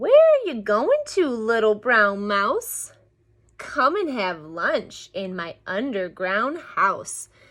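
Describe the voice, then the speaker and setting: Using a put-on character voice, a woman speaks at a fairly high pitch for a woman. Her pace is very slow. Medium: read story.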